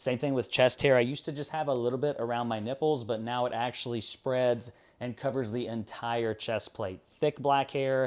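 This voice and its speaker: In a plain, everyday voice, a man talks at a moderate pace and medium pitch with fairly even intonation, hardly any pauses, and a very clean recording with a silent background. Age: 20s. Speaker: fitness vlogger. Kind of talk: personal vlog.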